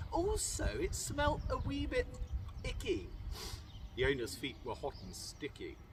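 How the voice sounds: Pitch swings very widely as the speaker goes at a fairly slow pace. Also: man, fairly high pitch for a man.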